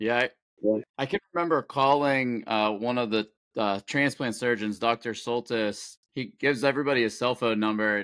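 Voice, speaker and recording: A man speaks at a moderate pace and medium pitch in a normal speaking voice with ordinary pitch variation, recorded very cleanly against a silent background with a dry, close sound and no echo. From Pittsburgh, Pennsylvania. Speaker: swim coach and parent of transplant patient. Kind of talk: casual interview.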